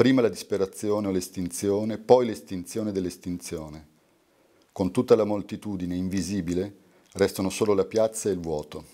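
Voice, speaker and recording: A man with a fairly low pitch and a dark, mellow tone talks at a moderate pace with fairly even intonation against a quiet background. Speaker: poet reading his work. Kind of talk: poetry reading aloud. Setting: live reading at a university. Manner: meditative, lyrical cadence. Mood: calm, measured, contemplative. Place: home room. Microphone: studio mic.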